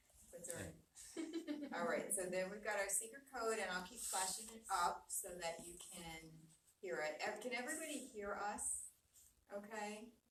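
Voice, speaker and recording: Speaking at a moderate pace with lively intonation and medium pitch, a woman leaves long, frequent pauses. Her loudness swings widely, and there is audible room echo. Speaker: aesthetic doctor. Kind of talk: live webinar presentation. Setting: video call. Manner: soft-spoken; casual.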